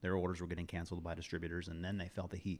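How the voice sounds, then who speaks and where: The recording is very clean, with a silent background. A man talks in a very deep, low pitch. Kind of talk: casual chat. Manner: monotone.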